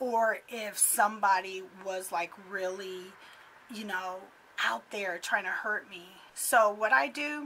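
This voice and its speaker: A woman's put-on character voice, raspy and medium-pitched, at a fairly slow pace. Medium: solo performance. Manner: chatty, conversational, laughs often.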